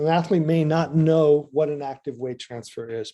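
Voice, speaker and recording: Fairly high pitch from a man, with a dark, mellow tone and fairly even intonation. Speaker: ski coach presenter. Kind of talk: presentation at coaches meeting. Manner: fast.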